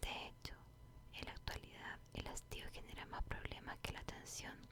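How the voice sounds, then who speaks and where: A woman whispers in a Chilean accent with a soothing tone at a fairly slow pace. Noticeable background noise is present. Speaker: ASMR content creator. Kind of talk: book reading, whispered ASMR. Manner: whispered, slow, soothing.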